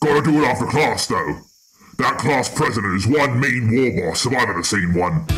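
A man of medium pitch speaks at a moderate pace with lively intonation and very even loudness. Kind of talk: comic overacting. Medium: machinima. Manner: boisterous, bossy, bloodthirsty.

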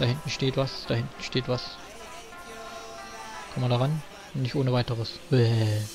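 A man talks at a moderate pace and medium pitch, with long, frequent pauses. Music plays in the background. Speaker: let's player. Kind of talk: gameplay commentary. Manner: hesitant, many filler sounds.

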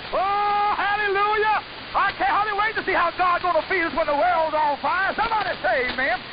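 Against noticeable background noise, a man's extremely high-pitched voice holds very even loudness with ordinary pitch variation. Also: moderate pace. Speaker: radio preacher. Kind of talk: sermon. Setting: shortwave radio broadcast. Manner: animated.

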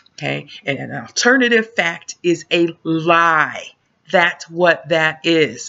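Against a quiet background, a woman speaks at a very slow pace in a fairly low pitch. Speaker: vlogger. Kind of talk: casual vlog chat. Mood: exasperated, venting. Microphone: webcam.

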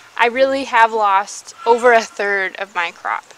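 A woman speaks at a fairly slow pace with ordinary pitch variation. The sound is dry with no echo, though noticeable background noise comes through. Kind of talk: casual vlog chat. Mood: disappointed, resigned.

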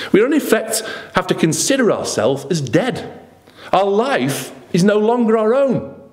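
Speaking at a fairly slow pace, a man with a high voice and a slightly mellow tone swings his pitch very widely.

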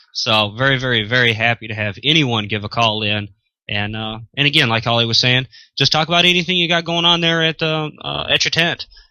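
A man talks at a fairly quick pace, the sound dry with no echo against a quiet background. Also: lively intonation. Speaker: show crew member; remote ham radio co-host. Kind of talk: casual chat. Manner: enthusiastic. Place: home room. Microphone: studio mic.

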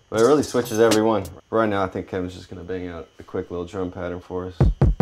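Here a man is speaking. His pitch is fairly low. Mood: relaxed, joking. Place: studio.

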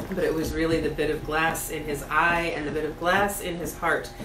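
Over clear background music, a woman speaks at a moderate pace in a fairly low pitch. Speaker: storybook reader. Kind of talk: reading a story aloud. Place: home room. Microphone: camera far.

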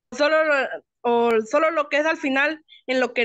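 Against a quiet background, a woman speaks at a high pitch and moderate pace, the sound dry with no echo. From Chiapas, Mexico. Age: 20s. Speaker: online English student; teacher or facilitator. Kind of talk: class participation. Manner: halting. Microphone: video call.

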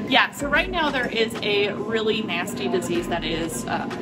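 Loud music plays in the background as the speaker talks at a moderate pace. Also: woman. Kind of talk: interview answer. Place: hall. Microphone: phone near.

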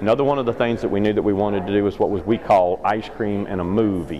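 A man with a Kentucky accent speaks with a fairly low pitch and fairly even intonation. Noticeable background noise sits behind him. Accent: Southern US (Kentucky). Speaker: dairy farmer and ice cream business owner. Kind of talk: interview storytelling. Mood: friendly, proud. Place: hall. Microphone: phone near.

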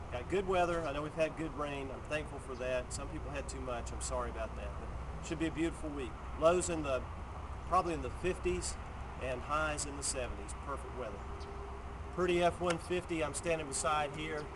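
A man keeps a moderate pace while noticeable background noise plays behind him. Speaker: car dealership weather presenter. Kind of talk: casual outdoor weather report mixed with a sales pitch. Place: street. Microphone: phone near.

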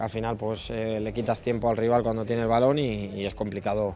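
Over music in the background, a man speaks fairly quickly with a fairly low pitch and monotone, flat intonation, the sound dry with no echo. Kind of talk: interview answer. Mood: calm, satisfied after win. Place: hall. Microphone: handheld.

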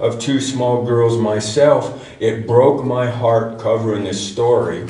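In a room with audible echo and light background noise, a man speaks at a very slow pace in a flat monotone. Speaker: teacher at a congregation. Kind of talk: sermon. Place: church. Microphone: camera far.

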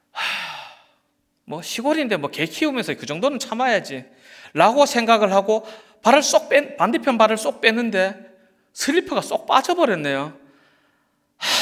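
A man with an extremely high pitch speaks fairly slowly, with very wide pitch swings, big swings in loudness, and long, frequent pauses. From rural South Korea. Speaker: pastor. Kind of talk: sermon.

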